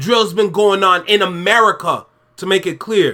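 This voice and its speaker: A man's raised, projected voice carries an animated, bright, sharp tone. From Canada. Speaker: YouTube reaction host. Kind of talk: reaction commentary.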